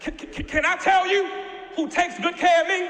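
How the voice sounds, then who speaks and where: With an extremely high pitch for a man, this raised, projected male voice keeps fairly even intonation amid noticeable background noise and audible room echo. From US, Baltimore. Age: young. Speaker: guest preacher. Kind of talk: sermon. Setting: church. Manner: stammering repetitions.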